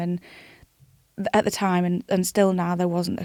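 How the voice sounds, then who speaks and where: The sound is dry and close, with no echo. A woman with a dark, mellow tone speaks at a very fast pace. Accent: British. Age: 20s. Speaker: charity founder. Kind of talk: interview. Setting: studio.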